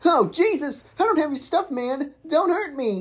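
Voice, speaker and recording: A man's put-on character voice at an extremely high pitch and a moderate pace. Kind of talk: comic overacting. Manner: crude, panicky, exasperated.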